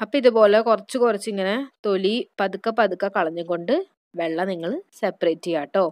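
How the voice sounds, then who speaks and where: Here a woman has an unremarkable speaking voice, a medium pitch and ordinary pitch variation. The sound is dry and close, with no echo. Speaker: beauty YouTuber. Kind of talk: tutorial.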